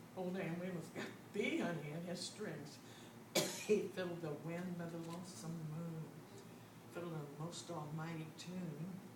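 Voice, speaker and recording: A woman at a fairly slow pace, fairly even intonation, noticeable background noise behind her. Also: fairly low pitch for a woman. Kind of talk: poetry reading.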